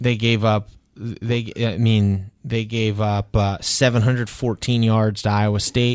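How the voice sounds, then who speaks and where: In a very clean recording with a silent background, a man at medium pitch speaks fairly slowly in a flat monotone, his loudness very even. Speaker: sports columnist and podcast host. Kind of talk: casual sports talk podcast. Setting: podcast studio. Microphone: real studio microphone.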